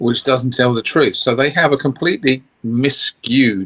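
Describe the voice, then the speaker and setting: A man speaks with an English accent. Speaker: guest. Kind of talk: casual chat.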